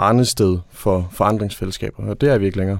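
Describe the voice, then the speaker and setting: Speaking with fairly even intonation, a man uses a fairly low pitch. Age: 20s. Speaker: trade union consultant. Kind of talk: interview. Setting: studio.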